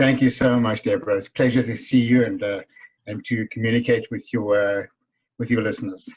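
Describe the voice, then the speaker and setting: A man with a South African accent talks at a fairly quick pace in a medium-pitched, somewhat breathy voice with monotone, flat intonation. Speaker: business author and speaker. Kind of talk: interview.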